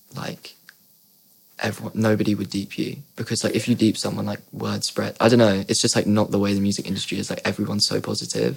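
In a southern English accent, a man talks at a very fast pace. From Surrey, southern England. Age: young. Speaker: singer-songwriter. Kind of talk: casual chat. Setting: studio.

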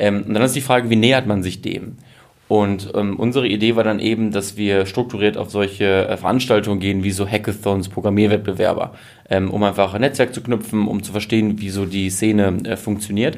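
A man with a fairly low pitch keeps his intonation fairly even while talking at a fairly quick pace. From Germany, Münsterland (Westphalia). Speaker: fintech founder. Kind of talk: interview. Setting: company office. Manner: hesitant with many filler sounds.

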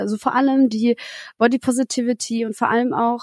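In a very clean recording with a silent background, a woman speaks at a high pitch, the sound dry and close with no echo. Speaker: singer-songwriter. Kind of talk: casual interview chat. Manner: animated.

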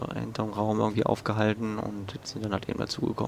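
A man speaks in a fairly low voice with a flat, monotone delivery. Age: 20s. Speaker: student and podcast weather presenter. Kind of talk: interview testimony. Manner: halting, many fillers.

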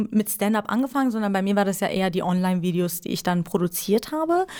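Lively intonation marks this woman's medium-pitched speech. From Iran. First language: Persian (speaking German). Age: 20s. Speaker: stand-up comedian. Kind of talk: casual interview.

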